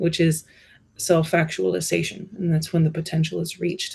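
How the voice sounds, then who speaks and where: Somewhat breathy and fairly low in pitch, a woman speaks with a dark, mellow tone. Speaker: bookkeeper and business consultant. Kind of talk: interview conversation. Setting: podcast studio. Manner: animated.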